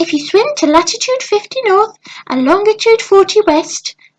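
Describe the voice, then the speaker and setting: A woman does a put-on character voice. It comes out squeaky. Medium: read story. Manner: small, sly.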